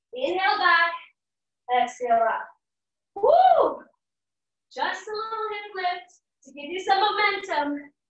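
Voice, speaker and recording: A woman's voice with audible room echo. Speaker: fitness instructor. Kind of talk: workout class cueing. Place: home room. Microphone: camera far.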